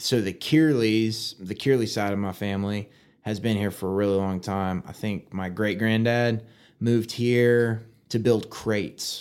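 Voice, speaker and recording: Fairly even in intonation and moderate in pace, a plain, everyday voice speaks with an American accent. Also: man, fairly low pitch for a man. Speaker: firefighter and podcaster. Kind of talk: casual interview.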